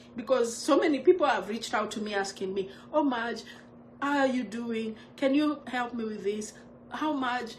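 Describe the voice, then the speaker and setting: Audible room echo surrounds a woman with a high pitch. She talks at a moderate pace with ordinary pitch variation. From Kenya. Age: 50s. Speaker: vlogger sharing life story. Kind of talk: personal testimony on livestream.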